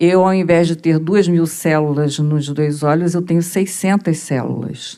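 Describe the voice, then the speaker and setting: A woman with an unremarkable speaking voice talks at a fairly slow pace in a fairly low pitch, with hardly any pauses. Her intonation is fairly even and her loudness very even. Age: 60s. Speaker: audience member, mental health professional. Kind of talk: audience question.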